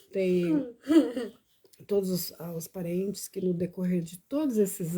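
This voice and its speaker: A woman with a dark, mellow tone talks at a fairly slow pace. Her voice is somewhat breathy, with ordinary pitch variation. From Brazil, Paranaíba. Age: 50s. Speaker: vlogger. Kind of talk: personal testimony live stream.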